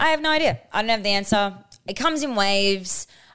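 With an Australian accent and lively intonation, a woman speaks on a very clean recording with a silent background. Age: 20s. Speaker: podcast co-host. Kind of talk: casual chat.

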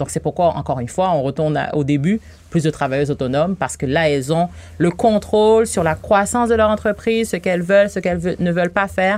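At a very fast pace, a woman with a fairly low voice speaks with lively intonation. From Haiti. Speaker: bank regional director for women entrepreneurs. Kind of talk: radio interview.

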